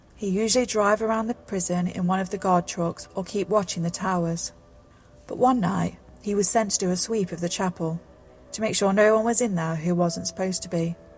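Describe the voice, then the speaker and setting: A woman's medium-pitched voice at a moderate pace, fairly even in intonation, with music in the background. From British. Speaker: narrator. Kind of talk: scary story narration.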